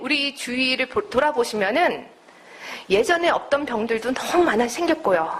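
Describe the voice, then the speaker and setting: A woman talks with a slight non-native accent and very wide pitch swings. Noticeable background noise sits behind her. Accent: slightly non-native Korean. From United States. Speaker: naturopathic doctor and lecturer. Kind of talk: lecture.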